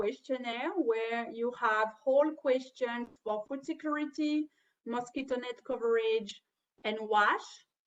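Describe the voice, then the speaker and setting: A woman with a French accent speaks very slowly in a high pitch, with ordinary pitch variation. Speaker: webinar trainer. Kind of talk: webinar presentation. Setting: online webinar. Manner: halting.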